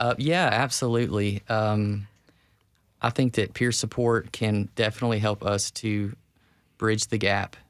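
This man has a normal speaking voice, fairly low in pitch, with very even loudness and fairly even intonation at a fairly slow pace. The recording is very clean, with a silent background. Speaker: peer recovery specialist. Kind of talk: interview. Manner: earnest.

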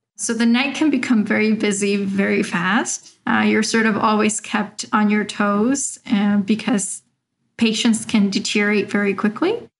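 Fairly high-pitched and somewhat breathy, a woman speaks at a fairly slow pace with fairly even intonation and very even loudness. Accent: American. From Mexico, raised in Arizona. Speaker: doctor. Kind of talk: interview.

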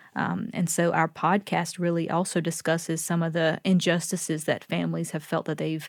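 A woman with a slight Southern US accent talks at a fairly quick pace in a fairly low voice, with vocal fry and monotone, flat intonation. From US South, North Carolina. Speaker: professor. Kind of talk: interview.

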